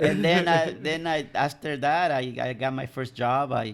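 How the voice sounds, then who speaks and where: There is noticeable background noise. Through it, a man speaks with a Spanish accent. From El Salvador. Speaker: commercial pilot. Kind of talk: casual interview. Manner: halting.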